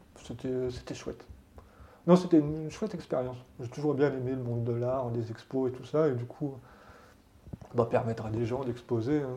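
A man with a dark, mellow, somewhat breathy tone speaks at a moderate pace with ordinary pitch variation, big swings in loudness and long, frequent pauses. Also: medium pitch for a man. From France, Haute-Savoie. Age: 40s. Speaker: tattoo artist. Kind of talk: interview. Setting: tattoo shop.

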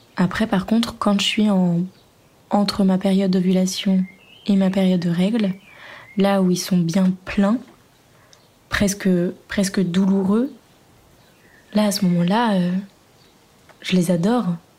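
A woman speaks very slowly in a medium pitch with a dark, mellow, somewhat breathy tone, monotone and flat in intonation, her loudness very even, with long, frequent pauses. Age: 20s. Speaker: interviewee sharing personal story. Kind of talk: testimony. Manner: hesitant.

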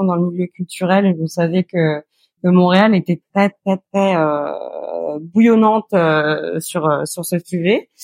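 Her intonation is fairly even. This woman's pitch sits fairly low. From Normandy, France (near Évreux). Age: 30s. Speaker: podcast guest, food photographer and blogger. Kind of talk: casual interview. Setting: remote call from Montreal. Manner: halting, many repetitions and fillers.

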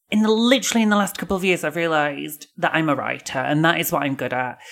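Lively intonation marks this woman's speech. She talks at a very fast pace with a fairly low pitch. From northern England, Bradford. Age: 40s. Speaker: novelist. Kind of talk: casual chat.

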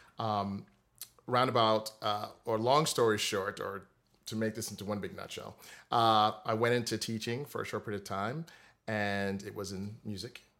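With an American accent and an unremarkable speaking voice, a man talks at a moderate pace in a fairly low pitch with fairly even intonation, on a very clean recording with a silent background. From US Virgin Islands, Saint Croix. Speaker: music theory teacher. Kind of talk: interview.

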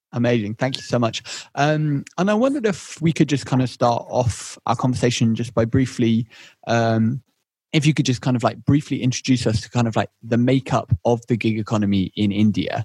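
The voice is somewhat breathy, with ordinary pitch variation. The sound is dry and close with no echo, in a very clean recording with a silent background. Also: man, medium pitch for a man, fairly quick pace. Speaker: podcast host. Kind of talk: scripted narration.

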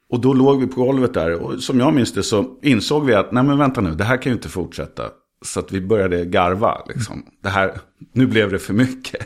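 Fairly quick speech from a man, medium-pitched with vocal fry and ordinary pitch variation. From Sweden, grew up in Skåne, Trollhättan and Södertälje area. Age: 50s. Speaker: TV presenter and actor. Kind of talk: casual chat.

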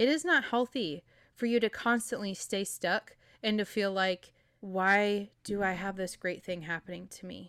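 Recorded very cleanly against a silent background with a dry, close sound and no echo, a woman with a normal speaking voice talks at a medium pitch with ordinary pitch variation and big swings in loudness. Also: moderate pace. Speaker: podcast host, nurse and fitness coach. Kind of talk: pep talk: warm, personal motivational monologue to listeners. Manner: earnest, encouraging, direct address.

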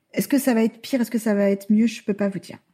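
Fairly high in pitch yet dark and mellow in tone, a woman speaks somewhat breathily with fairly even intonation. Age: 40s. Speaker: mother using a wheelchair, adoptive parent. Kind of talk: interview testimony.

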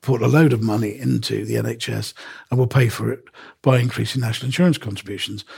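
Somewhat breathy male speech at a medium pitch, its pitch varying in an ordinary way. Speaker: newspaper columnist. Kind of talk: casual chat.

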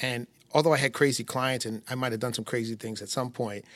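An American-accented man speaks at a fairly quick pace in a normal speaking voice, medium in pitch with fairly even intonation. The recording is very clean, with a silent background. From upstate New York, near Syracuse. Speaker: criminal defense attorney. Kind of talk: interview.

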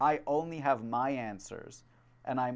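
Against a quiet background, a man with a normal speaking voice talks at a fairly slow pace and a medium pitch, with fairly even intonation. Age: 20s. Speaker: podcast host. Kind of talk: casual chat.

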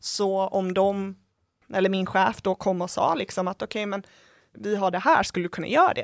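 A woman speaks in a normal speaking voice at medium pitch and a moderate pace, with fairly even intonation. The very clean recording has a silent background and a dry, close sound with no echo. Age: 20s. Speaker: stress and workplace health educator. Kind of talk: interview.

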